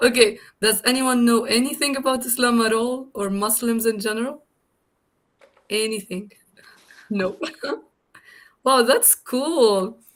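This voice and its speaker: A woman speaks at a fairly slow pace with a fairly high pitch, fairly even intonation, and long, frequent pauses. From Tunisia. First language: Arabic. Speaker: guest lecturer, language instructor. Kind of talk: lecture.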